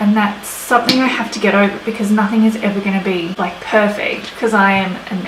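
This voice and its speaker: A soft-spoken woman with an Australian accent talks amid noticeable background noise and audible room echo. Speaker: beauty vlogger. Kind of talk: chatty get-ready-with-me tutorial. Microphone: no proper microphone, audio may be quiet.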